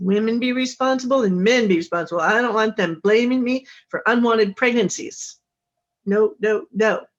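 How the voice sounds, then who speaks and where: A woman speaks in a plain, everyday voice at a fairly high pitch. Her pace is moderate and her pitch variation ordinary. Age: 60s. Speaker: author and intimacy coach. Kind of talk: interview.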